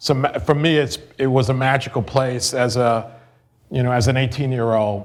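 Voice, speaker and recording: Audible room echo surrounds a man speaking at a moderate pace and medium pitch with fairly even intonation. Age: 50s. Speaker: real estate developer. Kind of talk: lecture. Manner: hesitant, with many fillers.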